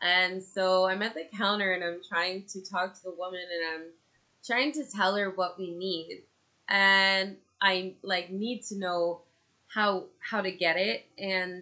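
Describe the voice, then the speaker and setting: With a Canadian accent, a woman speaks fairly slowly at a medium pitch in a bright, sharp tone, her intonation fairly even but her loudness swinging widely. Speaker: podcaster and mother. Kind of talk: casual monologue. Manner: loud, projecting; halting, many fillers.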